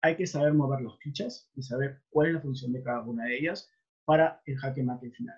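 Speaking at a fairly quick pace, a man with a fairly high, somewhat breathy voice uses ordinary pitch variation. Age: 30s. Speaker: webinar presenter, debt collection trainer. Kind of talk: online lecture. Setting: online webinar.

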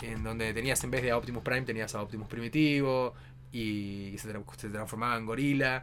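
This man has a plain, everyday voice at medium pitch. He talks at a moderate pace with fairly even intonation. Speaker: podcast co-host. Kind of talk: casual chat.

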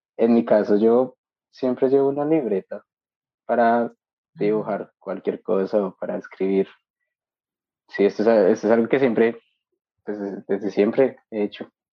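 A man at a medium pitch, fairly slow, with fairly even intonation and long, frequent pauses. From Colombia, Bogotá. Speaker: industrial designer, master's student. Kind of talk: interview conversation.

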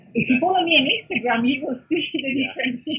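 The speaker goes at a very fast pace. The pitch shows ordinary variation. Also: woman. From Italy, Milan. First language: Italian. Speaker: food blogger and YouTuber. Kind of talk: interview. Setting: call.

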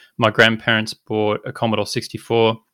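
A man with an Australian accent has a bright, sharp tone, recorded with a dry, close sound with no echo against a silent background on a very clean recording. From rural inland Australia. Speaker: tech startup co-founder. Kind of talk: interview.

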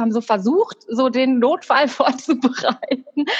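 Her high voice shows ordinary pitch variation as the woman talks. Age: 40s. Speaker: secondary school teacher. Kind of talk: casual interview.

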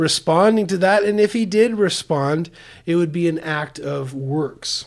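A man's high voice with an American accent, fairly slow in pace, with ordinary pitch variation. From US Pacific Northwest. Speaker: pastor. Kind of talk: testimony. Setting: in person.

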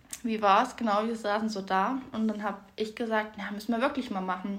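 Audible room echo surrounds a woman's somewhat breathy voice. She speaks at a fairly quick pace with a fairly high pitch and fairly even intonation. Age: 20s. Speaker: podcast co-host. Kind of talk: casual chat.

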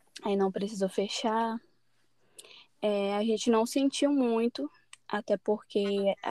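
Recorded very cleanly with a silent background and a dry, close sound with no echo, a woman speaks at a very slow pace in a fairly high pitch. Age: 20s. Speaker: journalism student. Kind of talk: casual chat.

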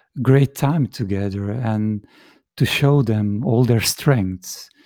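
Speaking with a non-native accent, a man has a dark, mellow tone, medium pitch and ordinary pitch variation, with a dry, close sound with no echo in a very clean recording with a silent background. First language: Dutch. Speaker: shiatsu practitioner and teacher. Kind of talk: interview. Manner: halting.

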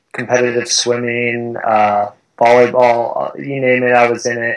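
The speaker is a man with an American accent and a medium pitch. He has an ordinary speaking voice. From Southern California. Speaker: chiropractor and running coach. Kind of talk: interview.

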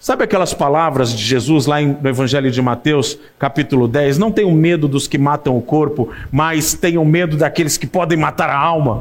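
The man has an unremarkable speaking voice with a fairly high pitch. He uses ordinary pitch variation and hardly any pauses. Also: moderate pace. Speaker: preacher. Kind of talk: sermon. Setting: church. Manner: warm, pastoral; humorous, relaxed.

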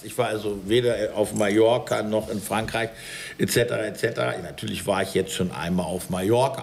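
Noticeable noise in the background, with pitch that varies in an ordinary way. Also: man. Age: 50s. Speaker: baker. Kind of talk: casual chat. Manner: animated.

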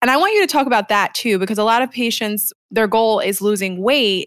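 The voice is an unremarkable speaking voice, moving at a fairly quick pace with ordinary pitch variation. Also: woman. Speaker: podcast co-host, clinician. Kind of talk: casual interview conversation. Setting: recording remotely from Aruba.

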